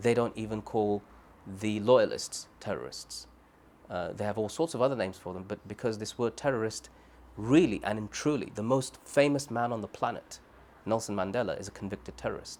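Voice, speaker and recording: At a fairly quick pace, a man with a Birmingham accent speaks at a medium pitch. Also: ordinary pitch variation. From Birmingham, England. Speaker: human rights advocate, former Guantánamo detainee. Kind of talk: oral history interview answer.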